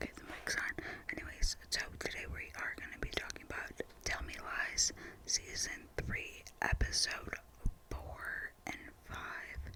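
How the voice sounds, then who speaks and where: Whispering at a fairly slow pace with long, frequent pauses over noticeable background noise. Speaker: ASMR creator. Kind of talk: unscripted TV show ramble. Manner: whispered; casual, rambling.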